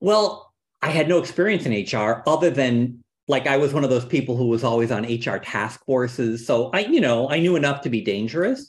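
Speaking at a fairly quick pace, a man uses an unremarkable speaking voice at medium pitch with lively intonation. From Cleveland, Ohio. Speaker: executive coach. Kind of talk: interview.

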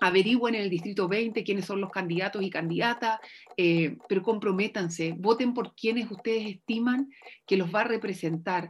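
A woman with a Chilean accent talks at a moderate pace and a medium pitch, varying it in an ordinary way. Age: 40s. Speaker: lawyer and political candidate. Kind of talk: campaign appeal; interview conversation.

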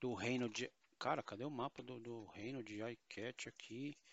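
Here a man speaks at a fairly slow pace. His tone is animated. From São Paulo state, Brazil. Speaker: tabletop RPG podcast co-host and game master. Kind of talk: casual chat.

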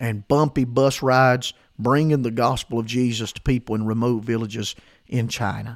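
Speaking at a fairly slow pace with a Southern US accent, a man holds a medium pitch, the sound dry and close with no echo on a very clean recording with a silent background. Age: 40s. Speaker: pastor. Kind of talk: sermon.

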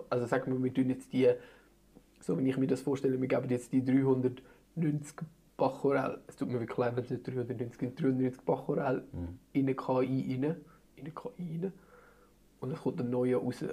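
A man with a medium-pitched, somewhat breathy voice and a dark, mellow tone speaks at a moderate pace with fairly even intonation and long, frequent pauses. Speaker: podcast host. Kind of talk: casual chat. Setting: team weekend retreat.

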